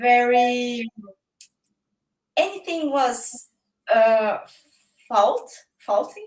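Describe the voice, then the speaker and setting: A woman's high-pitched, very slow delivery with a Brazilian Portuguese accent, lively intonation and long, frequent pauses. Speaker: guest. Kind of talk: casual chat. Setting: live-stream video call. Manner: halting.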